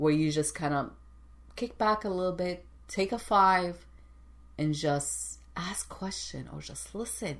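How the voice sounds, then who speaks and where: The speaker has a non-native accent. The delivery comes at a fairly slow pace. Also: woman. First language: not English. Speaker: executive coach and show host. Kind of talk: motivational talk show monologue. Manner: halting, repeats words.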